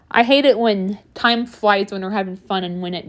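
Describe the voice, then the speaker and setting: A moderate pace and ordinary pitch variation in a very clean recording with a silent background. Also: woman. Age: 20s. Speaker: YouTuber. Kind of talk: rant monologue. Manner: halting.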